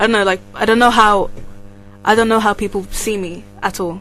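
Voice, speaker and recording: Over music in the background, a woman talks at a fairly quick pace with monotone, flat intonation. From England, Nigerian heritage. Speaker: university student. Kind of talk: casual chat.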